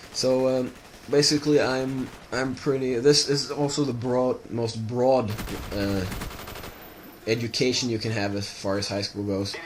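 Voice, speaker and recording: A man speaks at a fairly slow pace with a slight Swedish accent, leaving long, frequent pauses. Noticeable background noise and audible room echo fill the recording. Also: medium pitch for a man, fairly even intonation. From Sweden. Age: 20s. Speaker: gaming video creator. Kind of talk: casual monologue over gameplay. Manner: halting, many fillers.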